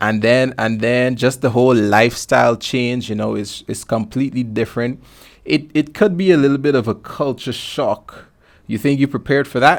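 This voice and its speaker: In a very clean recording with a silent background, a man with a Guyanese accent talks at a moderate pace, at a medium pitch with ordinary pitch variation. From Guyana. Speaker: podcast host. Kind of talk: casual interview.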